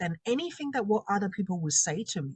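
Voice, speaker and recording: Her pitch is medium and swings very widely, with a somewhat breathy quality. The woman's sound is dry and close, without echo. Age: 40s. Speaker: confidence coach and makeup artist. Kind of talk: interview testimony.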